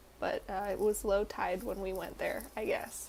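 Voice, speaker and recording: A woman with a slight Southern US accent talks at a very slow pace. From North Carolina, US South. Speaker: student vlogger. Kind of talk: casual vlog talk. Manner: casual, hesitant with fillers.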